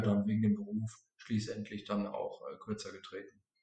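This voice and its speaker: The voice has a somewhat breathy quality. It belongs to a man. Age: 20s. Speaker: insurance and finance advisor. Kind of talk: interview.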